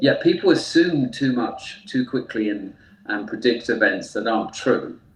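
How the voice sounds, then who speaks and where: A man speaks in a British accent at a moderate pace. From UK. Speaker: therapist. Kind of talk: interview. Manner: hesitant fillers.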